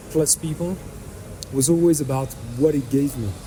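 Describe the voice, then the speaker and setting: Noticeable background noise sits behind this man's voice. He talks at a moderate pace with a slight French accent and a fairly high pitch. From France. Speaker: fintech entrepreneur. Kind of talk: podcast interview.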